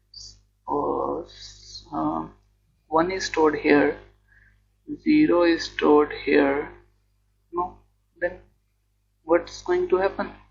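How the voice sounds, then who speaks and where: A man at a very slow pace with long, frequent pauses, music in the background. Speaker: electronics engineering educator. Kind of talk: lecture explanation.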